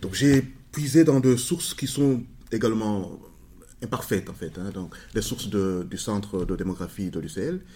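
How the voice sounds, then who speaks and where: A man with a dark, mellow tone speaks at a moderate pace with lively intonation, big swings in loudness and long, frequent pauses. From Rwanda. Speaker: sociologist. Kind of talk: interview. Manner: halting.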